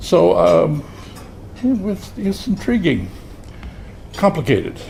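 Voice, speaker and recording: Noticeable background noise fills the clip. Against it, a man talks at a very slow pace. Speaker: retired criminology professor. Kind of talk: speech at a commemorative luncheon. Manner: halting.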